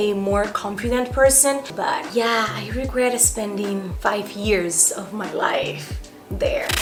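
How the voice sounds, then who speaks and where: Noticeable background noise and audible room echo surround a woman speaking at a fairly high pitch. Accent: Spanish. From Dominican Republic. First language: Spanish. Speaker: YouTuber. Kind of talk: casual Q&A vlog. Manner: animated.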